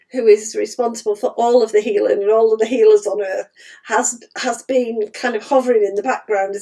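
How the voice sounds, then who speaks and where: A woman puts on a raspy character voice, pitched fairly high, delivered at a fairly quick pace with flat, monotone intonation. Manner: laughing while speaking.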